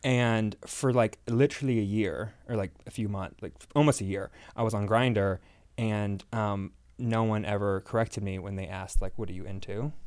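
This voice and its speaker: A man with a normal speaking voice talks at a moderate pace, pitched fairly low with fairly even intonation, on a very clean recording with a silent background. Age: 20s. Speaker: guest.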